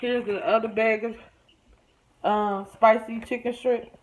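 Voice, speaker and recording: A woman talks at a moderate pace, with noticeable noise in the background. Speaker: vlogger. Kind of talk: casual vlog chat. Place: home room. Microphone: phone near.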